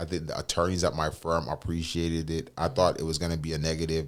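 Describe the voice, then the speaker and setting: Very deep and low, a man's voice speeds along at a very fast pace in a monotone, flat intonation with hardly any pauses. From Jamaica. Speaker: lawyer and business founder. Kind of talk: interview conversation. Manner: halting, many fillers.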